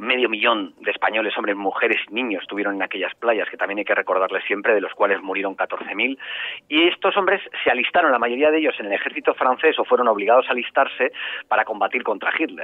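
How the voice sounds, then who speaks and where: A man's medium-pitched voice at a very fast pace with lively intonation, amid noticeable background noise. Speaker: journalist and author. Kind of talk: interview.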